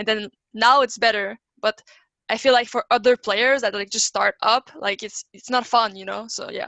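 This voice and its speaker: A woman with a French accent speaks at a fairly high pitch with fairly even intonation. Her loudness swings widely. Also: moderate pace. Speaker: esports player. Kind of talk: panel discussion.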